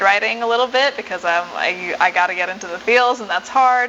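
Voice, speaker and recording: Ordinary pitch variation from a woman, noticeable background noise underneath. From mixed: Uganda, Ethiopia, then US for high school. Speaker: singer-songwriter. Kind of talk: interview.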